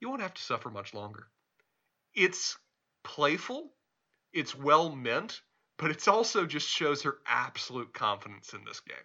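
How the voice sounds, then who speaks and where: Pausing long and often, a man with a slight Southern US accent speaks at a fairly high pitch with very wide pitch swings. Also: moderate pace, big swings in loudness. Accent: mild Southern US. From Charlotte, North Carolina. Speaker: podcast co-host. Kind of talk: casual chat.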